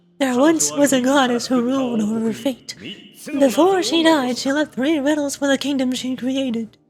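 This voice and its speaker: A woman uses a put-on character voice pitched high, talking at a moderate pace with hardly any pauses. Faint music plays in the background. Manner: ominous storyteller.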